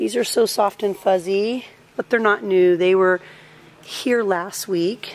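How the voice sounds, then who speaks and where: A voice with ordinary pitch variation that moves at a fairly slow pace. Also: woman. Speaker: shopping vlogger. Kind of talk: casual vlog chat. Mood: cheerful, enthusiastic. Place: shop. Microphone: phone near.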